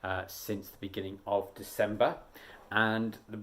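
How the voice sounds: The clip is read in a natural reading voice.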